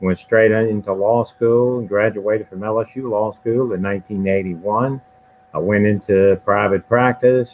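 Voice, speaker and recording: Someone speaks with a Louisiana accent and fairly even intonation. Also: man, fairly low pitch for a man, moderate pace. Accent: Louisiana Southern US. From Louisiana, Baton Rouge. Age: 60s. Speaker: judge, candidate. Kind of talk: candidate introduction at forum.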